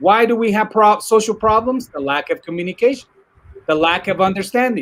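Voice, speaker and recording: In a Spanish accent, a man with a high pitch talks at a fairly quick pace in an animated tone with lively intonation. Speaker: technology commentator. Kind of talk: casual discussion. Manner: animated, repetitive false starts.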